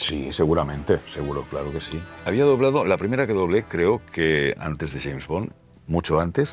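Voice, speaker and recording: Over music in the background, a man with a very deep, low pitch talks in a relaxed tone at a moderate pace, his pitch swinging very widely. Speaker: voice actor. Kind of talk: interview answer. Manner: relaxed, conversational.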